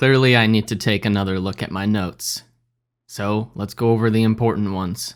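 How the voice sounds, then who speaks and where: On a very clean recording with a silent background, a man speaks at a fairly quick pace, medium in pitch, with fairly even intonation. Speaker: day trader. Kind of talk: live trading vlog. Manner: casual, hesitant with fillers.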